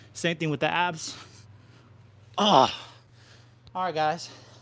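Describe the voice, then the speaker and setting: A fairly slow pace from a man. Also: long, frequent pauses. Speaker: fitness livestreamer. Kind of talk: live workout stream. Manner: breathless grunts between exercise.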